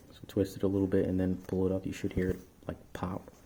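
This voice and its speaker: A soft-spoken man's voice, very deep and low, somewhat breathy, with a dark, mellow tone at a moderate pace. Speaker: motorcycle owner, amateur mechanic. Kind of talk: motorcycle repair tutorial. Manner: quiet, soft-spoken.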